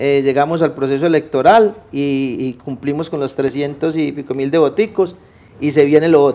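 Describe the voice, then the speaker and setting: In a paisa accent, a man talks at a moderate pace with a fairly high pitch and ordinary pitch variation. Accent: paisa (Antioquia) Spanish, voseo. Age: young. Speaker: civic activist. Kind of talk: interview. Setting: TV studio. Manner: halting, many repetitions.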